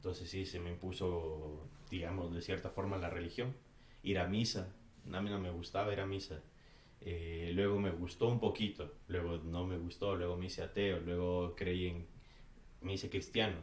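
Audible room echo surrounds a man whose very deep, low, somewhat breathy voice moves at a moderate pace with fairly even intonation. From Ecuador. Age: 30s. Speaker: hardcore band vocalist. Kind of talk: casual chat.

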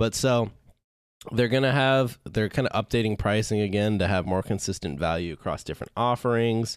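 A man with a fairly low pitch talks at a moderate pace. He has an ordinary speaking voice with ordinary pitch variation. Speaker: podcast host. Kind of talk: casual chat. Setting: online call with guests.

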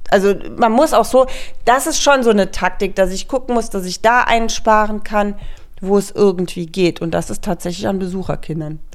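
Medium pitch and ordinary pitch variation mark this woman's delivery at a moderate pace. It is an ordinary speaking voice. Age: 40s. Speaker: podcast co-host, mother of eight. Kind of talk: casual chat.

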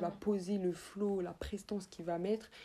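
This woman has a medium-pitched voice with a dark, mellow tone, delivered in a monotone, flat intonation at a moderate pace. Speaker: rapper. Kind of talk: casual interview. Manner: casual, with English interjections.

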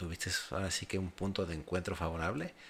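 A man speaks at a very deep, low pitch with vocal fry. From Mexico. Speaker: podcast host. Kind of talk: casual interview.

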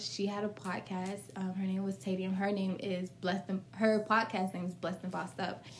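A woman is talking. There is some breathiness in her voice. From US South, Florida (Fort Pierce). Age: 20s. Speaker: lash and brow business owner. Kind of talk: casual chat.

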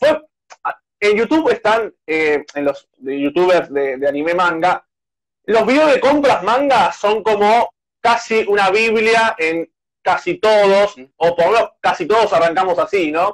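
In a dry, close sound with no echo, a man talks at a fairly slow pace, high-pitched and with lively intonation. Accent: Rioplatense. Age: 20s. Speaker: youtuber and journalist. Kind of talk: casual interview.

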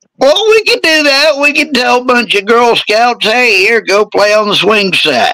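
A man speaks in a raised, projected voice at a moderate pace. His pitch swings very widely. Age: 40s. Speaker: podcast host. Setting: live video podcast. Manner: casual, joking, profane.

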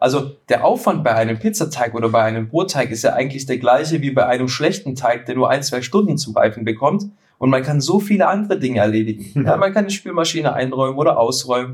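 A man talks at a very fast pace with hardly any pauses. His voice is somewhat breathy, with lively intonation. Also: medium pitch for a man. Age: 30s. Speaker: pizza baking content creator. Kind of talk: casual chat. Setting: studio couch, recording together. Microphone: poor sound quality in first episode.

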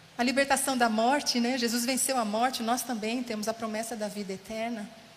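A woman with fairly high pitch and fairly even intonation speaks at a moderate pace, with audible room echo and noticeable background noise. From São Paulo state interior. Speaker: guest preacher. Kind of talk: sermon. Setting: church.

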